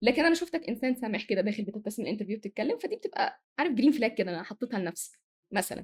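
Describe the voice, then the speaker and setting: Speaking at a very fast pace, a woman swings her pitch very widely. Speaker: manager and corporate trainer. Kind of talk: podcast interview. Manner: sometimes fast; sometimes loud.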